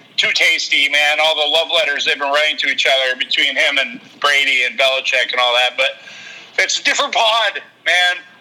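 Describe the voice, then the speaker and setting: Speaking at a fairly quick pace with very even loudness, a man is heard over noticeable background noise. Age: 40s. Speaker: amateur cook and sports fan. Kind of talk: casual chat.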